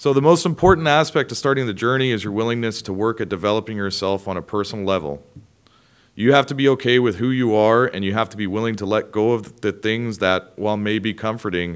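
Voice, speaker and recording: A man with a plain, everyday voice speaks at a fairly quick pace and a fairly low pitch, with ordinary pitch variation, over a quiet background. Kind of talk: prepared speech. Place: hall. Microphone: podium.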